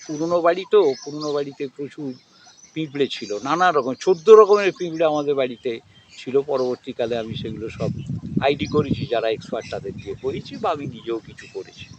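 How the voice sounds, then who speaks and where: A man talks at a fairly high pitch. Noticeable background noise is present. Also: big swings in loudness. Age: 70s. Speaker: bird watcher and nature observer. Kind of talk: interview answer.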